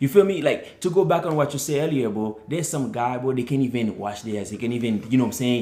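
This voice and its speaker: A man in a Haitian accent at a medium pitch, very fast and with hardly any pauses, his intonation lively. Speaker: Navy sailor, podcast guest. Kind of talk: casual chat.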